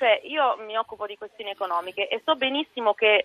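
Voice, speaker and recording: A woman's fairly high voice at a very fast pace. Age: 30s. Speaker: politician. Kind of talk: radio interview.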